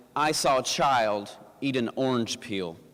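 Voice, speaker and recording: This man talks with a slight Southern US accent. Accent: slight Southern twang. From US South, Appalachian mountains. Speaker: pastor. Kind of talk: inspirational talk. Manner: halting, with fillers and repeated words.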